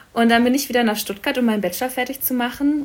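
Very fast delivery with ordinary pitch variation. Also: woman. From Berlin, Germany. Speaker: coffee business founder. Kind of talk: casual interview.

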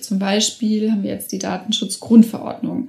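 The woman here talks at a moderate pace. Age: 30s. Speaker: politician. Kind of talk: interview. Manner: frequent filler sounds.

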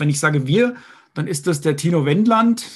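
A man's fairly high-pitched voice with lively intonation over a quiet background. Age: 50s. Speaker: software entrepreneur and investor. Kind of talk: interview.

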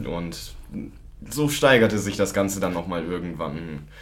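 Audible echo from the room hangs around a man as he talks. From Lower Saxony, Germany. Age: 20s. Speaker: student recovering from alcohol problem. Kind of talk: testimony.

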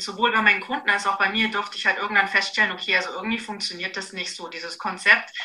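Over noticeable background noise, a woman speaks at medium pitch in a monotone, flat intonation, with big swings in loudness and hardly any pauses. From Bavaria, Augsburg. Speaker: nutrition and fitness coach. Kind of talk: casual interview.

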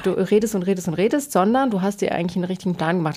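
The recording is very clean, with a silent background. A woman at medium pitch talks at a very fast pace with fairly even intonation. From rural Germany. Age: 40s. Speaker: interior designer. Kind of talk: casual chat.

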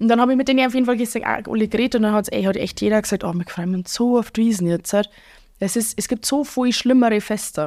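A woman with a strong Bavarian accent talks at a very fast pace and a fairly high pitch, with ordinary pitch variation. The recording is very clean, with a silent background. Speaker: Oktoberfest waitress and bar owner. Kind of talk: casual chat.

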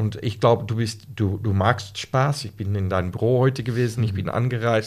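A somewhat breathy man with a Dutch accent at a fairly slow pace, on a very clean recording with a silent background. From Netherlands. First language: Dutch (speaking German). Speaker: Lego Serious Play facilitator. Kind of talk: casual podcast interview. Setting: in person in the host's office. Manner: halting, searching for words.

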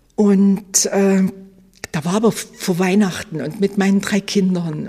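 This woman's voice is somewhat breathy. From Leipzig, Saxony, East Germany. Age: 60s. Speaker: former Stasi archive head, eyewitness. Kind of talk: interview testimony.

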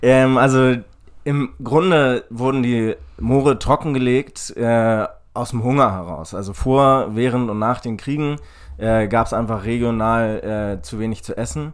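An ordinary speaking voice moves at a fairly slow pace with ordinary pitch variation, captured in a very clean recording against a silent background. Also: man, medium pitch for a man. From Hamburg, northern Germany. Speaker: farmer and startup co-founder. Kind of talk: casual interview. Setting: construction trailer at a festival.

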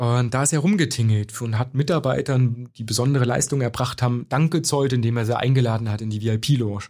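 A man with a plain, everyday voice at medium pitch, fairly quick with hardly any pauses and ordinary pitch variation, on a very clean recording with a silent background. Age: young. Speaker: corporate speaker. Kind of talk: interview. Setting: studio.

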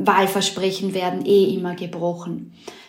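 Audible room echo and noticeable background noise around a fairly slow pace. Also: woman. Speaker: political journalist. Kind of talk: interview.

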